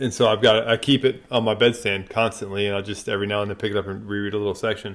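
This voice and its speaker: A man speaking at a very fast pace, monotone and flat, with fairly low pitch. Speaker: podcast host. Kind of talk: interview.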